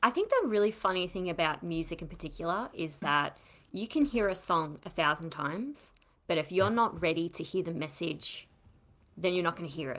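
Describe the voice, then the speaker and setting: A woman with a plain, everyday voice speaks at a fairly low pitch. Her intonation is lively and her pace fairly quick. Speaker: podcast host. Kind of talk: casual chat.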